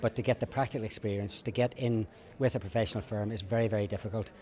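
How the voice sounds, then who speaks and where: A man with a Northern Irish accent speaks at a very fast pace in a medium pitch. His voice is somewhat breathy. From Northern Ireland. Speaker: lawyer. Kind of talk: interview. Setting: conference event. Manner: halting, with many repetitions.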